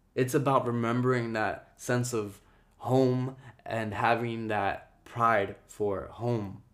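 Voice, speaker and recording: In an American accent, a man talks at a very slow pace with monotone, flat intonation and a medium pitch. Room echo is audible. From Jersey City, New Jersey (US), Ecuadorian-Guatemalan family. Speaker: visual artist and podcast host. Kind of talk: solo personal monologue.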